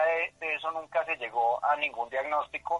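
Bright and sharp in tone, a man speaks with fairly even intonation in a dry, close sound with no echo. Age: 30s. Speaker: patient advocate, industrial engineer. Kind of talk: radio interview. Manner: hesitant, many filler sounds.

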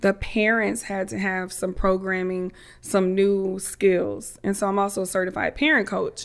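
On a very clean recording with a silent background, a woman uses a normal speaking voice at medium pitch, moderate pace and fairly even intonation. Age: 30s. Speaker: business therapist and coach. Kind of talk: interview conversation.

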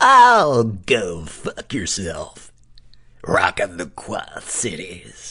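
This put-on character voice is raspy and low-pitched, delivered at a very slow pace. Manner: aggressive, hostile.

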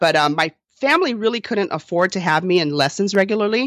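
Energetic in tone, a woman speaks at a moderate pace with ordinary pitch variation. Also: very clean recording, silent background. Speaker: podcast host and dance business coach. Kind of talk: casual interview chat.

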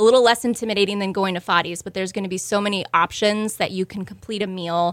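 Very fast and with fairly even intonation, a woman speaks in an American accent at a medium pitch. The recording is very clean, with a silent background. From Houston, Texas. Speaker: restaurant co-owner. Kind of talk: interview.

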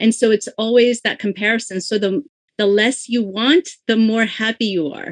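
Enthusiastic in tone, a woman speaks at a fairly high pitch. She has a Korean accent. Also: ordinary pitch variation, moderate pace. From South Korea, moved to US at 11. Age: 50s. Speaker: novelist. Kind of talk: interview. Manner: enthusiastic, laughs often.

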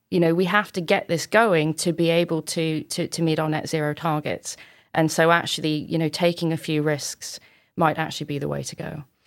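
A woman with a very deep, low pitch at a fairly quick pace. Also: fairly even intonation, very clean recording, silent background. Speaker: space strategy lead. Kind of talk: interview discussion.

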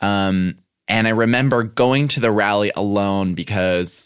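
In a very clean recording with a silent background, a man with an American accent has an unremarkable speaking voice, a fairly low pitch, and ordinary pitch variation. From US Midwest, Chicago area. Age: 20s. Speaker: writer and podcaster. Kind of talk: casual chat.

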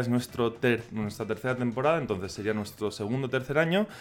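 Lively intonation marks a man's speech, delivered at a very fast pace. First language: Catalan (speaking Spanish). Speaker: podcaster about Japan. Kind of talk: casual chat. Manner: halting.

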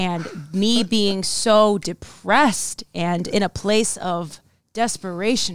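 Recorded very cleanly against a silent background, a woman speaks very slowly at medium pitch, with ordinary pitch variation and big swings in loudness. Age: 20s. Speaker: podcast host and actress. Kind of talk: casual chat. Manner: harsh, aggressive tone.

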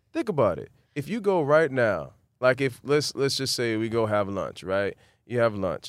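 A man's medium-pitched, normal speaking voice with an American accent, moderate pace and lively intonation, on a very clean recording with a silent background. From Miami, Florida (Carol City / Opa-locka). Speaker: actor. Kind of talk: interview.

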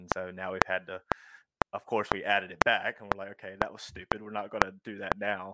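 A man speaks at a fairly quick pace in a very deep, low, monotone voice with flat intonation. The sound is dry and close with no echo. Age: 20s. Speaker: financial coach. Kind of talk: casual interview.

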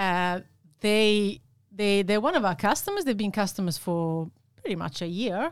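Lively intonation marks a woman's medium-pitched voice with an Italian accent. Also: moderate pace. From Italy. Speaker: sales and operations manager. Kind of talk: interview.

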